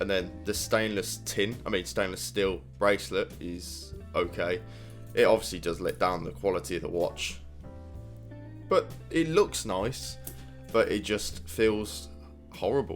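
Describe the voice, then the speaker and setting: With music in the background, a man with a British accent and a very deep, low pitch speaks at a fairly slow pace, swinging his pitch very widely between long, frequent pauses. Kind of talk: casual product review to camera.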